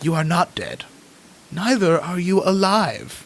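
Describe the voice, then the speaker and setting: Putting on a character voice, a man sounds strained and gravelly at a high pitch and a fairly slow pace. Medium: actual play. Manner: slow, solemn, cryptic.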